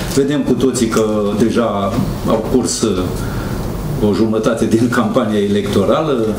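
Fairly slow, medium-pitched male speech with fairly even intonation, long and frequent pauses, and noticeable background noise. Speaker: local party leader. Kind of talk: press conference moderation. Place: meeting room. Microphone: handheld.

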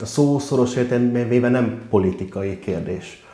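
Audible room echo surrounds a man speaking at a fairly slow pace. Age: 30s. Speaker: councillor and mayoral candidate; council candidate. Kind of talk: candidate interview. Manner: hesitant, many fillers. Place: meeting room. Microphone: lapel.

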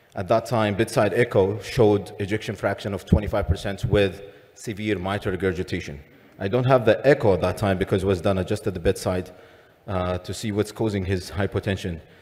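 A somewhat breathy man's voice with a fairly low pitch. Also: fairly even intonation, fairly quick pace. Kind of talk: lecture. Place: hall. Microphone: podium.

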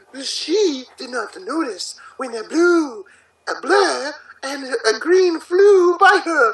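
In a put-on character voice, a man talks slowly at an extremely high pitch, his tone fairly bright and his intonation lively.

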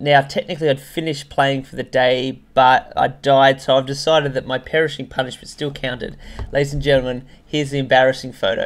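At a fairly quick pace, a man speaks with hardly any pauses. His intonation is flat and monotone. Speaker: gaming video host. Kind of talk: casual gaming commentary.

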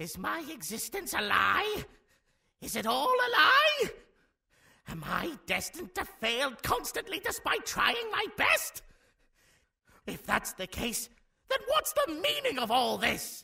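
A put-on character voice pitched extremely high, theatrical in tone. It moves at a fairly slow pace with long, frequent pauses. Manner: theatrical, hammy villain bluster.

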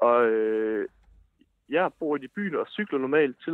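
Against a quiet background, a man talks in an ordinary speaking voice with a dry sound and no echo. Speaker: caller. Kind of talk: casual chat. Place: studio.

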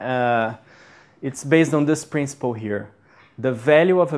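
Over a quiet background, a man with a Portuguese accent talks at a fairly slow pace in a medium pitch with ordinary pitch variation. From Brazil. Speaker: MBA student. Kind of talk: lecture. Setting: stage with audience. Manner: halting.

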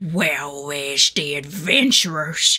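A woman puts on a grumpy-toned character voice and speaks very slowly. The recording is very clean with a silent background. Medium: voice reel. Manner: grumpy, irritated.

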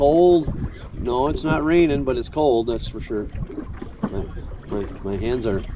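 The intonation is lively and the pace fairly slow. Noticeable background noise runs underneath. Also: man. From Minnesota. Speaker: fishing vlogger. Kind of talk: vlog narration. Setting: outdoors on a boat in rain. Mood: relaxed, mildly frustrated. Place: boat. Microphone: phone near.

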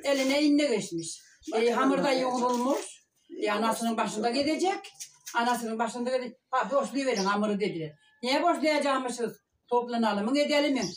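Clear of all but light background noise, a woman talks at a fairly quick pace. Her pitch is high and her loudness very even. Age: 70s. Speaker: village elder telling a story. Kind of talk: interview answer, reminiscing. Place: home room. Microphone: camera far.

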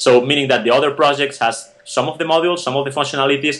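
Medium-pitched male voice with fairly even intonation and a Spanish accent. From Spain (Barcelona). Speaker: tech startup founder and CEO. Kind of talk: interview. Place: home room. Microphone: video call.

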